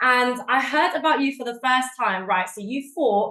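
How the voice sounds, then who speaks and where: In a South London accent, a woman speaks with a fairly high pitch and lively intonation. Her tone is animated, bright and sharp. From South London, England. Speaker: MMA show host. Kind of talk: casual interview chat.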